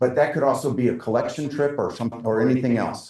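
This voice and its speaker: This is a man with a medium pitch. His pace is fairly quick. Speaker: presenter at a forestry council meeting. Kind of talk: presentation with slides. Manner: fast.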